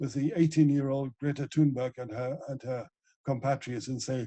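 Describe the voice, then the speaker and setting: Speaking with fairly even intonation, a man with a fairly high pitch and a dark, mellow, somewhat breathy tone is heard in a dry, close sound with no echo. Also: quiet background. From Germany, Ruhr area (Essen). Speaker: ecologist and author. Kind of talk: interview.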